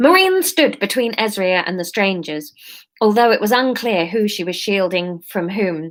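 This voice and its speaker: Here a woman speaks with an English accent. Her pitch is medium and her pace moderate. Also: ordinary pitch variation. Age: 30s. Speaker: comedian. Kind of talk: story reading.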